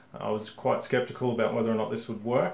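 Room echo can be heard around the man as he talks. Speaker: hobby tutorial host. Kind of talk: tutorial. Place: home room.

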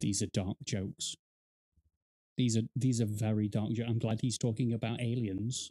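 A man speaks at a moderate pace with medium pitch and a dark, mellow tone. His intonation is fairly even, his loudness very even, and the background quiet. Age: 30s. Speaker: gaming YouTuber reacting to a video. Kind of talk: casual reaction commentary. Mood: amused, joking. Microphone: studio mic.

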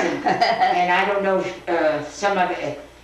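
A woman speaks with audible room echo. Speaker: grandmother telling life stories. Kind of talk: reminiscing conversation at home. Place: kitchen. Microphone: old recording.

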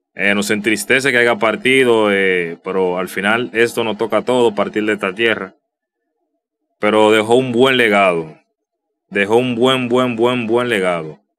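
The speaker has a Dominican accent and ordinary pitch variation. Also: man. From Dominican Republic. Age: 30s. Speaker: youtuber. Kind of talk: casual vlog commentary. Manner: halting, many repetitions and fillers. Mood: somber, nostalgic tribute. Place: home room.

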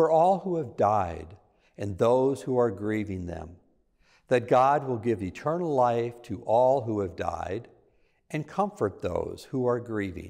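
Against a quiet background, a man speaks with a dark, mellow tone. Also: fairly slow pace. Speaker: lector reading scripture and intercessions. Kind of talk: scripture reading and prayers of the faithful. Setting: church. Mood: calm, solemn. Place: church. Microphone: lapel.

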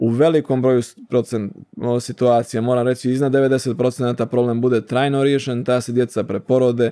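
Over a quiet background, a man speaks in a dark, mellow tone at a moderate pace, his intonation monotone and flat. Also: medium pitch for a man. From Montenegro, Bar; Montenegro. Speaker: ENT surgeon; guest. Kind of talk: interview. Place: studio. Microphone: studio mic.

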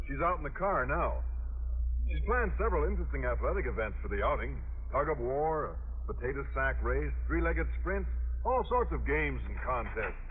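Light background noise sits behind a man speaking at a moderate pace. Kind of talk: old-time radio comedy acting, scripted sitcom. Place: studio. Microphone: old recording.

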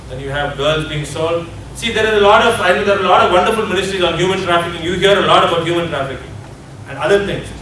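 Speech comes at a very fast pace, with audible room echo and light background noise. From India. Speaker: addiction ministry leader. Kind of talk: seminar lecture. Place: hall. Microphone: camera far.

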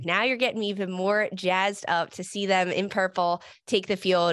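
A woman at a moderate pace, in a dry sound with no echo and a quiet background. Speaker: soccer broadcaster and analyst, former player. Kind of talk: interview. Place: home room. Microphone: studio mic.

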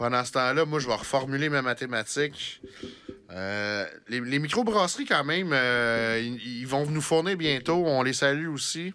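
In a Quebec accent, a man speaks fairly slowly with a bright, sharp tone and ordinary pitch variation. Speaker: podcast host. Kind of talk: casual chat. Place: studio. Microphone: studio mic.

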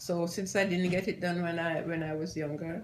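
Over light background noise, a woman with a fairly low pitch and some vocal fry speaks at a fairly slow pace in a fairly even intonation. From Jamaica. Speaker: grandmother being interviewed. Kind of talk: casual talk to camera. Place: home room.

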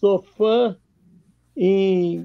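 A man with a Rio de Janeiro accent speaks against a quiet background in a dry recording with no echo. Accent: Rio de Janeiro Brazilian Portuguese (carioca). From Brazil, Rio de Janeiro. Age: 70s. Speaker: documentary filmmaker; interview guest. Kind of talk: interview on a livestream. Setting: video call. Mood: warm, amused storytelling. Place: home room. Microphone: webcam.

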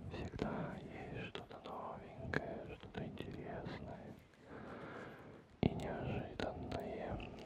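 A man is whispering. His pace is very slow. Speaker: ASMR creator. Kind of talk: ASMR session. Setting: close-up stereo microphone with rain sounds. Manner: whispered. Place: home room. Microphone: studio mic.

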